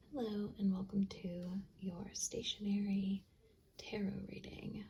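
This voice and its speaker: Soft-spoken and relaxed in tone, the voice moves at a very slow pace. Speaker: tarot-style reader using stationery supplies. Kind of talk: ASMR-style pick-a-card reading. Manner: relaxed, soft-spoken; gentle, reassuring.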